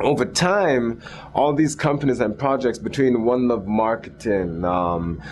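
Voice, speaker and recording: Over noticeable background noise, a man talks at a fairly slow pace and medium pitch, with very wide pitch swings and very even loudness. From Jamaica. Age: 30s. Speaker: entrepreneur. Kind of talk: interview.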